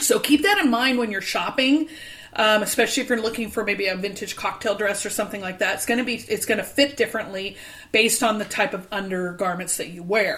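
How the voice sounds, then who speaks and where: A woman's fairly high voice at a very fast pace, with ordinary pitch variation, over noticeable background noise. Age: 50s. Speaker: podcast host and vintage store owner. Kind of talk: casual chat.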